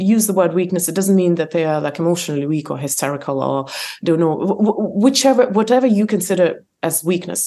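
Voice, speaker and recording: With an Eastern European accent, a woman speaks in a dark, mellow tone at medium pitch with lively intonation. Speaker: author and entrepreneur. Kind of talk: interview, conversational. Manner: hesitant with fillers, laughs often.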